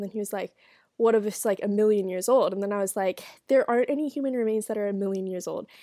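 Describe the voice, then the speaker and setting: A woman's very fast speech, medium in pitch, dark and mellow in tone, with a dry, close sound and no echo. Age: young. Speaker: solo podcaster, college student. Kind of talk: casual solo chat, reading and reacting to advice posts. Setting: dorm room. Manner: chatty, many fillers.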